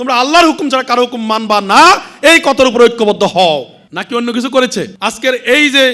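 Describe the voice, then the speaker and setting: A man's raised, projected voice at an extremely high pitch, bright, sharp in tone, with ordinary pitch variation. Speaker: religious organization leader giving speech. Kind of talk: speech to a women's conference. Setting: stage with audience.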